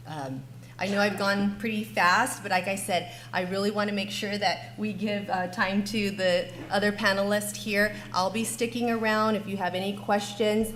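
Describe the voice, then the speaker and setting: Over audible room echo, the voice moves at a moderate pace with vocal fry and ordinary pitch variation. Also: woman, medium pitch for a woman. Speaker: school district technology coordinator. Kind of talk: conference panel presentation.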